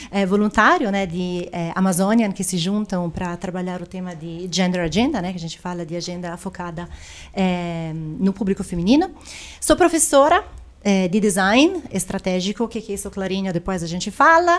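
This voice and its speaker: Delivered at a moderate pace, the voice shows ordinary pitch variation and big swings in loudness. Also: woman, medium pitch for a woman. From Italy. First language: Italian (speaking Portuguese). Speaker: tech executive. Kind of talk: podcast interview.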